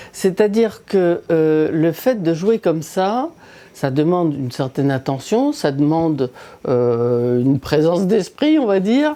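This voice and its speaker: Speaking at a very slow pace, a woman with a fairly low, dark, mellow tone swings her pitch very widely. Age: 70s. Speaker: video game player. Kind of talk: gameplay commentary.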